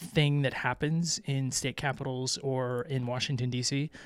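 On a very clean recording with a silent background, a man with an American accent speaks at a moderate pace and medium pitch in an unremarkable speaking voice. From Florida. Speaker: podcast host, parent. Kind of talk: casual chat.

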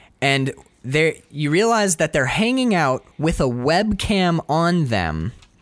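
This is a man speaking. He has an American accent. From Michigan, Upper Peninsula. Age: 20s. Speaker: podcast co-host. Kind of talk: casual chat. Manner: animated.

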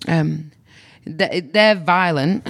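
Fairly slow speech from a woman with ordinary pitch variation, in a very clean recording with a silent background. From northern England, Manchester. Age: 40s. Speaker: comedian and nurse. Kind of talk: casual interview chat.

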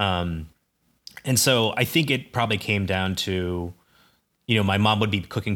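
In a Midwestern US accent, a man with a very deep, low pitch and a bright, sharp tone talks at a moderate pace with fairly even intonation, in a very clean recording with a silent background. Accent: General American, Midwestern. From US Midwest (Ames, Iowa). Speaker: podcast co-host. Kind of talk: casual chat.

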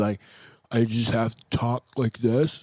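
A man speaks in a put-on character voice. It is nasal and sits at a medium pitch.

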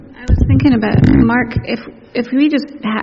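Speech unfolds at a moderate pace while noticeable background noise carries on beneath it. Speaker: church minister leading service. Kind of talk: service announcements and benediction. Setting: church. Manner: hesitant, filler-heavy.

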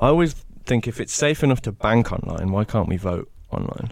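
Speaking at a fairly quick pace with ordinary pitch variation, a man talks with an English Midlands accent. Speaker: podcast host. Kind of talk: casual interview chat. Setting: in person, recording with handheld microphones.

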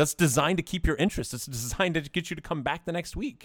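With an American accent and ordinary pitch variation, a man is heard on a very clean recording with a silent background. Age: 40s. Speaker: podcast co-host. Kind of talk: casual chat.

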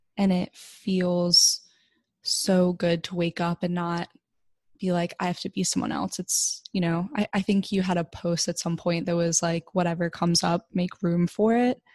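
The woman's voice is somewhat breathy and dark and mellow in tone, with a fairly low pitch and fairly even intonation, and the sound is dry and close with no echo. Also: moderate pace. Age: 20s. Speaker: podcast host. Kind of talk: casual interview chat.

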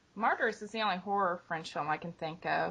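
A woman with an American accent talks at a fairly quick pace with ordinary pitch variation. Hers is a normal speaking voice. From US Midwest. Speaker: guest, host's wife. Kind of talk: casual chat.

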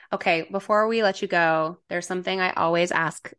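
A woman with an ordinary speaking voice, fairly low in pitch, with ordinary pitch variation and a moderate pace against a quiet background. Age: 30s. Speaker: podcast host and trauma-informed coach. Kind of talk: casual chat.

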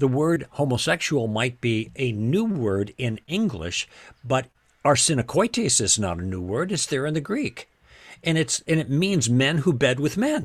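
Recorded very cleanly against a silent background, a man speaks at medium pitch with very wide pitch swings. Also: moderate pace. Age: 70s. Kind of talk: interview on faith and theology. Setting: podcast recording. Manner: halting with many repetitions.

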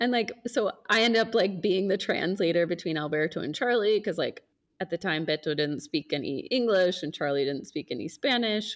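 This is an unremarkable speaking voice. A woman speaks at medium pitch and a moderate pace. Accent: American. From United States. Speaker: podcast host. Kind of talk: casual chat.

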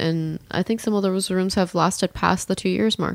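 Speech comes at a fairly quick pace. The delivery is an unremarkable speaking voice. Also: woman. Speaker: podcast host.

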